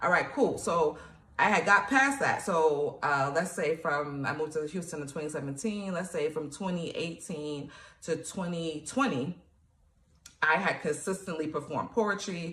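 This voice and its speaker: With an American accent, a woman speaks in an animated tone at a fairly low pitch, with ordinary pitch variation. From New York, Nigerian family. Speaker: poet and author, motivational coach. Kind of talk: motivational tutorial. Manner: fast; casual, animated.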